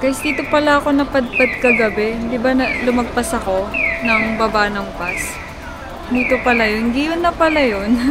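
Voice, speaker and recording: High-pitched woman at a moderate pace with ordinary pitch variation, audible room echo and noticeable background noise. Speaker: travel vlogger. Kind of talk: casual vlog narration.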